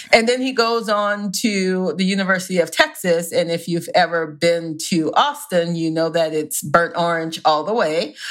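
In an American accent, a woman speaks at a moderate pace with hardly any pauses. She has a plain, everyday voice, fairly low in pitch, with ordinary pitch variation. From US South. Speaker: romance author. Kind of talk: casual chat.

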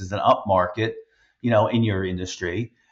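Somewhat breathy male voice, medium in pitch, at a moderate pace. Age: 50s. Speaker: podcast host and business owner. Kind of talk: casual interview conversation.

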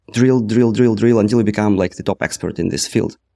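A man's dark, mellow voice with a Russian accent, in a dry, close sound with no echo. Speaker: startup co-founder, former product manager. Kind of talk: casual interview conversation.

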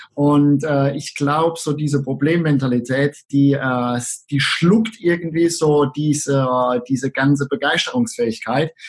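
Somewhat breathy, a man's fairly high voice moves at a fairly slow pace with ordinary pitch variation. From Southern Palatinate, Germany. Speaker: online marketing entrepreneur. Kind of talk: interview.

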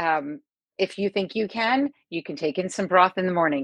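A woman's normal speaking voice at a medium pitch, with ordinary pitch variation, a dry, close sound with no echo, and a quiet background. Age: 40s. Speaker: sports dietitian. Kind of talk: panel discussion. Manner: fast.

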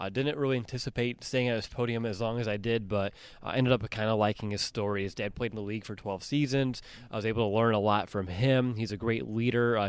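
A man speaks in a plain, everyday voice. His pace is fairly quick and his intonation fairly even. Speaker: podcast host. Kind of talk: casual sports podcast chat. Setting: on location at the NFL Combine.

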